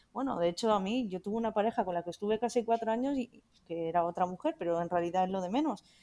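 On a very clean recording with a silent background, a woman's dark, mellow voice moves very fast at a medium pitch with ordinary pitch variation. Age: 30s. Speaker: LGBT activist. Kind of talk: panel discussion.

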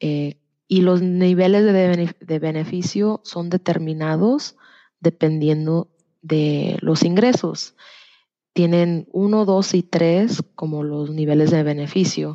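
Slowly, very slowly, a woman speaks in a fairly low pitch with fairly even intonation. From Tennessee, US (born in Jalisco, Mexico). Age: 20s. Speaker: health insurance enrollment counselor. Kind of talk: interview. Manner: hesitant, many fillers.

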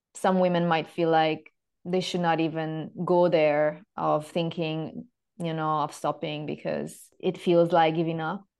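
A woman's fairly low voice in monotone, flat intonation at a fairly slow pace. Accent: Italian. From Italy. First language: Italian. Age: 30s. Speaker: yoga teacher and women's health mentor. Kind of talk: interview. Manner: halting.

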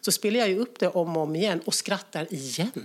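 A plain, everyday voice with lively intonation. The recording is very clean, with a silent background. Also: woman. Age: 40s. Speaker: guest. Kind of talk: casual chat.

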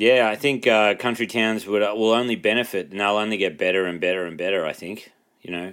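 The speaker uses an Australian accent, a bright, sharp tone, ordinary pitch variation and a fairly quick pace in a very clean recording with a silent background. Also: man. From rural New South Wales, Australia. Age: 30s. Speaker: comedian. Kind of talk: casual chat.

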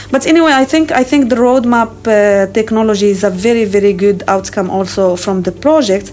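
Over noticeable background noise, a woman with a fairly high voice talks at a fairly quick pace with hardly any pauses, very even loudness and ordinary pitch variation. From Morocco. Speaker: professor. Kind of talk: interview.

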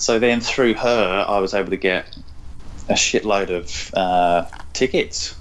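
Someone with an English accent speaks at a fairly slow pace. The loudness stays very even throughout. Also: man, fairly low pitch for a man, ordinary pitch variation. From England, London. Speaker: personal trainer and cookbook author. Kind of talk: casual interview chat.

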